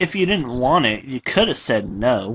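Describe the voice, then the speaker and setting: A man puts on a character voice at a medium pitch. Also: moderate pace. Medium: read story. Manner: sing-song, childish.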